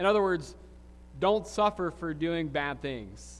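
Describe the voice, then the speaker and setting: Speaking at a moderate pace, a man talks with a Southern US accent. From US South, Alabama Gulf Coast. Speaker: pastor. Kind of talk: sermon. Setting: church. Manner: halting.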